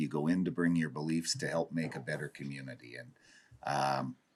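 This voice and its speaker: A man with a western Canadian accent speaks at a fairly quick pace in a very deep, low voice. His pitch varies in an ordinary way, and there is vocal fry. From Dawson Creek, northern British Columbia, Canada. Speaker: city chief administrator. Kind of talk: council meeting report.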